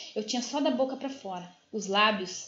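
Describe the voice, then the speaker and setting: This is a woman speaking with ordinary pitch variation. Audible room echo is in the recording. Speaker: spiritist study teacher. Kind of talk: lecture. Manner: fast.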